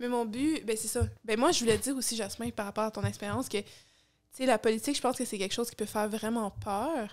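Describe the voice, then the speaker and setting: A woman talks at a very fast pace in a fairly high pitch, her intonation fairly even against a quiet background. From Quebec. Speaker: podcast co-host. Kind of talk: casual chat. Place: home room. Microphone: studio mic.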